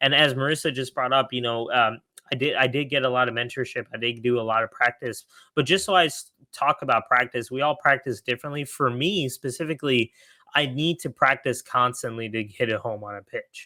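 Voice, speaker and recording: In a very clean recording with a silent background and dry, close sound with no echo, a man speaks fairly quickly in a bright, sharp tone at medium pitch with ordinary pitch variation. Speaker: startup founder. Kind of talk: podcast interview. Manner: fast when excited.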